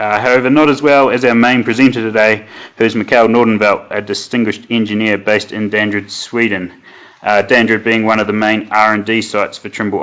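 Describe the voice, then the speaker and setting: A man with a fairly low pitch and monotone, flat intonation at a fairly quick pace. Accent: New Zealand. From New Zealand. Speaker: product manager, webinar host. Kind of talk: webinar presentation. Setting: online webinar. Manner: hesitant, many fillers.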